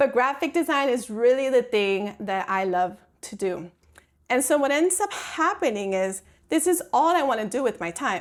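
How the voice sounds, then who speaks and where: A woman talks at a moderate pace, her high pitch sweeping very widely up and down. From Puerto Rico, then Miami. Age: 30s. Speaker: graphic designer and creative educator. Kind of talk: online workshop. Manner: casual, conversational with many fillers.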